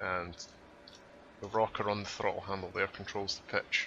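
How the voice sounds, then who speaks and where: Here a man speaks at a moderate pace in a Scottish accent. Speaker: flight sim tutorial maker. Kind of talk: tutorial. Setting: voice over on screen recording.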